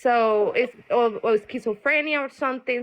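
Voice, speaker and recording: A voice with a Colombian accent, fairly slow, with ordinary pitch variation. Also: woman. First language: Spanish. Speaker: caller on live tarot stream. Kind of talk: personal testimony. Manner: halting.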